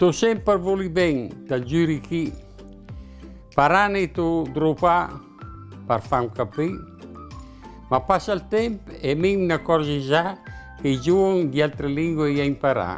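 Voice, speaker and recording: Over music in the background, a man in a Mantuan accent talks at a fairly slow pace with a fairly high pitch and long, frequent pauses. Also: lively intonation. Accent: Northern Italian, Mantuan. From Northern Italy. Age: 80s+. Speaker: humorist, dialect poet. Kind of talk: dialect poetry reading.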